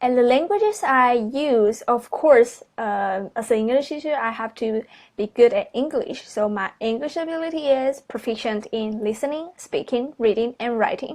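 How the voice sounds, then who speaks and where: Over a quiet background, a woman with a high pitch talks at a moderate pace with ordinary pitch variation and hardly any pauses. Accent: Chinese. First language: Mandarin Chinese. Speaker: university student applying for teaching job. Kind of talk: video resume presentation. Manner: halting, with many fillers.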